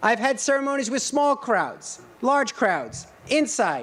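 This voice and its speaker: Speaking at a moderate pace, a man talks with a Rhode Island accent. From Rhode Island (Johnston). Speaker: college president. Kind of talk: commencement speech.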